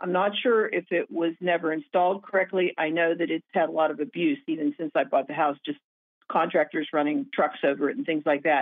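A woman with an American accent speaks at a fairly quick pace in an unremarkable speaking voice, her fairly low pitch carried by lively intonation. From Pennsylvania. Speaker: caller. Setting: phone call. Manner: worried, explaining in detail.

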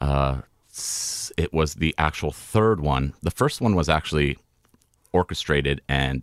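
Man with an American accent, very deep and low in pitch with vocal fry and ordinary pitch variation, at a fairly slow pace, dry and close with no echo. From California. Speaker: poster artist. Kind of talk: casual interview chat.

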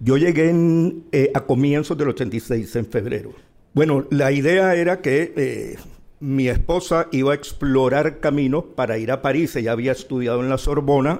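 A plain, everyday voice at a fairly slow pace, with ordinary pitch variation. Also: man, fairly high pitch for a man. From Colombia, Barranquilla (Caribbean coast). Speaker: journalist, opinion editor. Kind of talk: live panel conversation. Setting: stage with audience. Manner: calm, mild-spoken.

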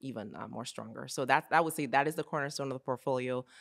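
A woman speaks in a very deep, low voice. The recording is very clean and dry, close with no echo, and the background is silent. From Nigeria. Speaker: entrepreneur, mother. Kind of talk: interview.

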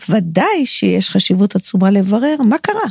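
Very slowly, a woman talks in a dry, close sound with no echo. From Israel. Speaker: Talmud scholar and halakhic decisor. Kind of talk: personal narrative monologue. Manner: reflective.

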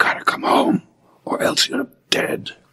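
A man speaks in a raspy put-on character voice at a moderate pace. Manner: whispering; menacing.

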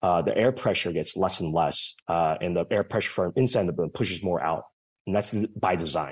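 At a fairly quick pace, a man with a very deep, low pitch speaks with ordinary pitch variation, the background quiet. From California, San Jose. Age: young. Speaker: startup founder. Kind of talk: interview. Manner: halting.

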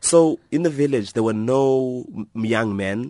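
The man's tone is dark and mellow. He talks at a fairly slow pace against a quiet background. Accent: South African. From South Africa, Eastern Cape. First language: Xhosa. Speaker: author and blogger. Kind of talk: radio interview.

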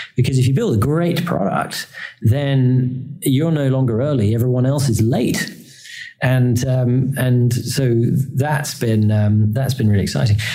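This man has a medium-pitched, somewhat breathy voice with a dark, mellow tone, speaking at a fairly slow pace with very even loudness amid audible room echo. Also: ordinary pitch variation. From England. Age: 30s. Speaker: electric car executive. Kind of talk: interview. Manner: hesitant fillers.

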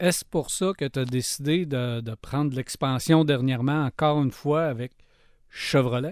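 In a very clean recording with a silent background, a man uses an ordinary speaking voice at a fairly slow pace, with fairly high pitch and ordinary pitch variation. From Quebec, Lac-Saint-Jean. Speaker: podcast host. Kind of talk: interview.

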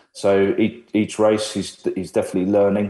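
A man with an English accent talks at a moderate pace against a quiet background. His fairly low voice has a dark, mellow tone and monotone, flat intonation. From Ireland. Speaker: former F1 team manager. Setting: video call.

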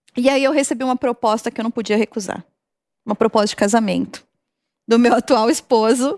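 A woman with a fairly high voice speaks in fairly even intonation, leaving long, frequent pauses. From Brazil, São Caetano (São Paulo). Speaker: marketing executive. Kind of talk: interview.

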